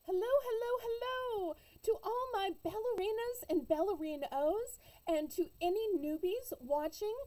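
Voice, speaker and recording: Speaking at a fairly slow pace, a woman with an American accent has an extremely high pitch, very wide pitch swings, and a dark, mellow tone. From Southern US. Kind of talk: casual storytelling to camera. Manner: humorous, chatty.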